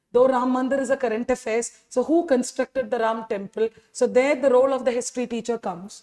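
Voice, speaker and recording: A woman with a Tamil accent, a high pitch, a dark, mellow tone and a fairly quick pace, in a dry, close sound with no echo. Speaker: history teacher. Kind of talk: lecture. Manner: animated, rhetorical questions.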